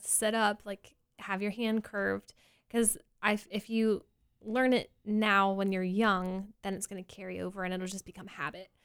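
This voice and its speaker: At a medium pitch and moderate pace, a woman speaks with monotone, flat intonation. Her volume rises and falls sharply. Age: 20s. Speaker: elementary music teacher. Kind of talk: casual interview. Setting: studio.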